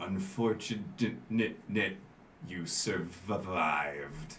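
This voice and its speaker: A man's put-on character voice, fairly low in pitch, at a very slow pace against clear background noise. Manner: menacing, mechanical.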